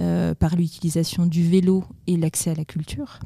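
Her voice is somewhat breathy, with a dark, mellow tone and a fairly low pitch. The woman keeps a monotone, flat intonation. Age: 40s. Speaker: president of a cycling integration association. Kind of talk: interview. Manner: hesitant, many fillers.

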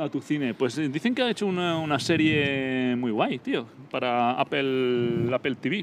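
A man talks at a fairly slow pace with a fairly high pitch and ordinary pitch variation. Noticeable background noise is present. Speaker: podcast co-host. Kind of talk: casual chat. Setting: on location at a cinema complex.

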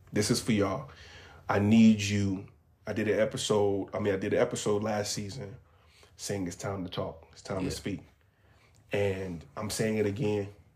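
Somewhat breathy, a man speaks at a moderate pace with fairly even intonation, big swings in loudness and long, frequent pauses. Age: 30s. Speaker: podcast host. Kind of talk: direct address to listeners; casual chat.

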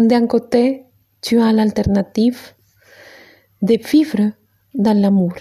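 A woman speaks very slowly, with long, frequent pauses and a fairly high pitch. Her tone is gentle, calm, dark and mellow, somewhat breathy, with fairly even intonation. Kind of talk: guided meditation. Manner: slow, calm, soothing, with long pauses; gentle, instructive, switching between French and Spanish.

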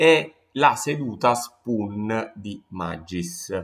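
In a very clean recording with a silent background, a man speaks at a fairly low pitch with lively intonation. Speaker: design podcast host. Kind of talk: solo podcast talk on design history. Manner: slow; hesitant, many fillers.

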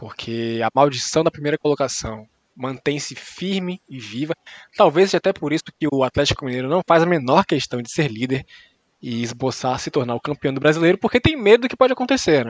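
An unremarkable speaking voice moves at a fairly quick pace with lively intonation and big swings in loudness, recorded dry and close with no echo. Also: man, fairly high pitch for a man. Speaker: sports podcast host. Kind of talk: casual comedic sports chat.

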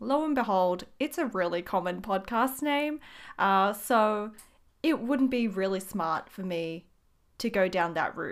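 An ordinary speaking voice from a woman at medium pitch, fairly slow pace and ordinary pitch variation, on a very clean recording with a silent background. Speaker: podcast host and small business owner. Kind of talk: casual solo monologue. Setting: home studio.

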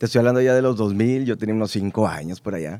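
This man has a normal speaking voice, medium in pitch, with ordinary pitch variation and a fairly quick pace. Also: very clean recording, silent background. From Mexico, Baja California Sur (La Paz). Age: 20s. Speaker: radio announcer. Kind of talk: casual interview chat. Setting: studio.

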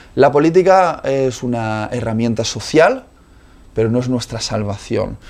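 In an ordinary speaking voice, a man at medium pitch talks at a fairly slow pace with ordinary pitch variation. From Spain. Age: 30s. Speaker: preacher. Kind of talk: interview conversation.

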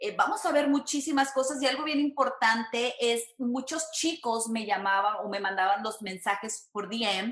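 Speaking with a Mexican accent, a woman talks at a fairly slow pace with hardly any pauses, her high pitch showing ordinary variation. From Mexico, San Luis Potosí. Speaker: entertainment reporter. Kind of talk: casual interview.

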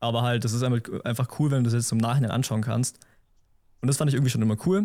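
Intonation stays fairly even in a dark, mellow tone. Nothing sounds in the background of this very clean recording. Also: man. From Allgäu, Bavaria (Memmingen). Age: 20s. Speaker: photographer. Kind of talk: casual interview chat.

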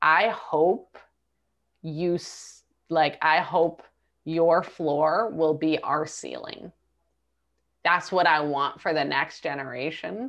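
A woman's very deep, low voice at a very slow pace, with ordinary pitch variation, long, frequent pauses and a quiet background. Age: 40s. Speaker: entrepreneur. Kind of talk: interview.

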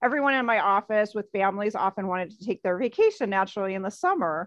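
Against a quiet background, a woman speaks with an American accent in a plain, everyday voice. Her pitch is fairly high, with ordinary pitch variation. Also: dry, close sound with no echo. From US Midwest. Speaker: photographer and photo travel guide. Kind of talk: casual interview chat.

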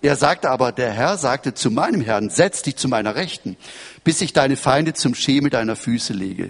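A man talks at a moderate pace in a medium pitch, with a normal speaking voice. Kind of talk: sermon. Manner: formal, measured preacher's delivery, teaching and expounding scripture; earnest, quoting scripture verses aloud.

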